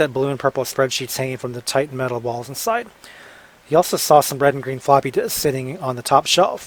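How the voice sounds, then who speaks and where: A man with an unremarkable speaking voice talks at a fairly quick pace and a fairly high pitch, showing ordinary pitch variation and big swings in loudness. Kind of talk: audiobook narration.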